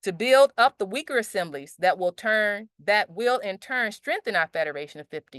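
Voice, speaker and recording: Recorded dry and close with no echo against a quiet background, a woman talks at a moderate pace with a medium pitch. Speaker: meeting organizer presenting objectives. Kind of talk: online group meeting presentation. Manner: loud; halting, with many restarts.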